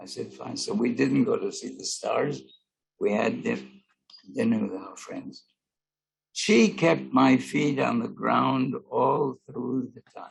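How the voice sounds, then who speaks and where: Loudness swings widely as a man talks. He goes at a very slow pace. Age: 80s+. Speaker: actor. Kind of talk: interview answer. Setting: video call.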